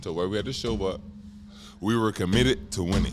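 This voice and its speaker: Noticeable background noise fills the recording. A man talks through it. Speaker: former pro basketball player. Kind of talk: casual chat.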